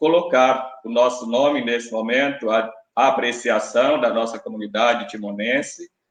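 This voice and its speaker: A plain, everyday voice delivered at a fairly slow pace. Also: man. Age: 50s. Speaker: election candidate, teacher. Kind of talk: debate opening statement. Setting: live-streamed debate. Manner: formal.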